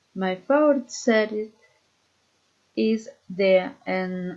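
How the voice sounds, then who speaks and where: Speaking in a Spanish accent, a woman uses lively intonation at a medium pitch. Her pace is very slow. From Colombia, Boyacá (Socha). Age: 30s. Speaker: student. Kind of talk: reading aloud. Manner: halting.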